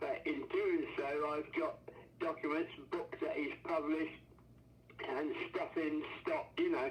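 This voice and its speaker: Speaking at a fairly slow pace with an English accent, a man leaves long, frequent pauses. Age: 80s+. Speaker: inventor's brother and researcher. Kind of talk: casual chat. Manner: halting.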